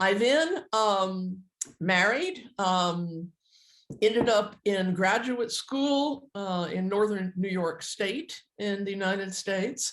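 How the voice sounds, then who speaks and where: At a very slow pace, a woman with an American accent speaks at medium pitch with ordinary pitch variation. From Texas, Houston. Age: 70s. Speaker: phototherapist and author. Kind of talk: interview.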